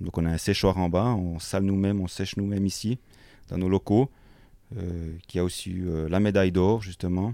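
With a very deep, low pitch and a dark, mellow tone, a man talks at a moderate pace with fairly even intonation on a very clean recording with a silent background. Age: 30s. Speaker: butcher. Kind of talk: interview. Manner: halting.

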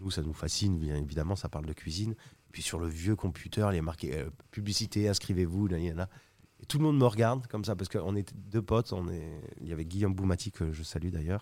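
In a very clean recording with a silent background, a man speaks with a very deep, low pitch, a dark, mellow tone and ordinary pitch variation. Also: fairly quick pace. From southwest France (Carcassonne, Toulouse). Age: 30s. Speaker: chef. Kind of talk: casual chat.

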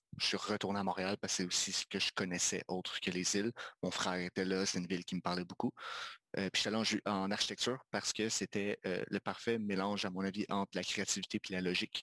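This man has a bright, sharp tone and speaks at a fairly quick pace with monotone, flat intonation. His loudness stays very even, and the sound is dry and close with no echo. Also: fairly low pitch for a man. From Quebec, Magdalen Islands. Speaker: video game designer and studio co-founder. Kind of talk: casual interview chat.

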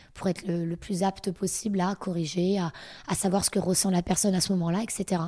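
Delivered at a fairly quick pace, the voice has a dark, mellow tone and monotone, flat intonation, on a very clean recording with a silent background. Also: woman. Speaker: fitness coach. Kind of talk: interview.

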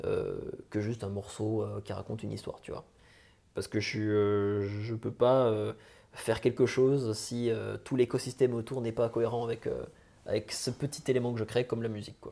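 Recorded very cleanly against a silent background, a man with a dark, mellow tone speaks at a moderate pace in a flat monotone. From France, Franche-Comté. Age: 20s. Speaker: musician. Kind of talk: interview. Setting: late-night recording.

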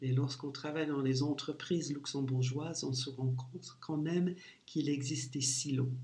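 A man with a fairly high pitch and a dark, mellow tone talks at a moderate pace, somewhat breathy, with monotone, flat intonation. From US Midwest, St. Louis, Missouri. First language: English (speaking French). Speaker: leadership coach. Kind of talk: interview.

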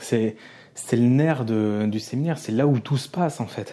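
A man speaks in a medium-pitched, dark, mellow tone with ordinary pitch variation. The recording is very clean, with a silent background. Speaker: podcast host. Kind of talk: casual solo monologue. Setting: hotel room. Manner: quiet, not loud; halting, many repetitions.

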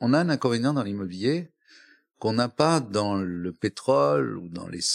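In a very clean recording with a silent background, a man with a fairly low voice talks fairly slowly, his pitch swinging very widely. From northern France, Flanders (Dunkirk, Hazebrouck). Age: 70s. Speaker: real estate executive. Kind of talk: interview. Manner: halting, with fillers.

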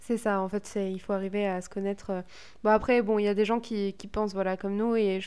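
At a medium pitch, a woman speaks fairly quickly in a dark, mellow tone. Her intonation is monotone and flat. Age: 20s. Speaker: podcast co-host. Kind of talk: casual chat. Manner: hesitant.

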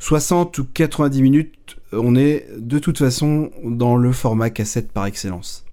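A man with a dark, mellow tone. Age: 40s. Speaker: music podcast host. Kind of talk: podcast monologue.

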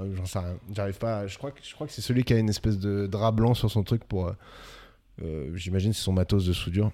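A man talks with a fairly low pitch and a dark, mellow tone. He leaves long, frequent pauses. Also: ordinary pitch variation, fairly quick pace, big swings in loudness. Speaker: podcast co-host. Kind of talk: casual chat.

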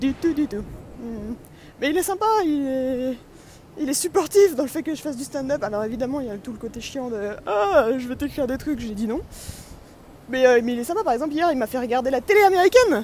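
Over noticeable background noise, a woman with a high pitch talks at a fairly quick pace in an animated tone, her intonation lively, with long, frequent pauses. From France. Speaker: vlogger and amateur comedian. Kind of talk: travel vlog monologue.

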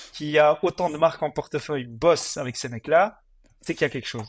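A man at a fairly quick pace and fairly high pitch, a plain, everyday voice, on a very clean recording with a silent background. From Belgium, Mons (Hainaut). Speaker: fast-food franchise entrepreneur. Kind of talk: interview.

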